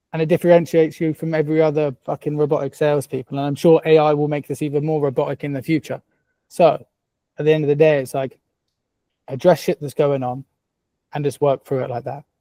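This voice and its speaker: A man talks very fast in a fairly high pitch with a dark, mellow tone. His intonation stays monotone and flat. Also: dry, close sound with no echo. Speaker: sales coach. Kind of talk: tutorial. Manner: casual, swearing freely.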